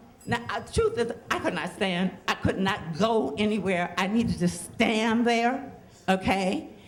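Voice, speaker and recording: A woman's medium-pitched voice with lively intonation at a fairly slow pace, over noticeable background noise. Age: 70s. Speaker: storyteller. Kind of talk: storytelling.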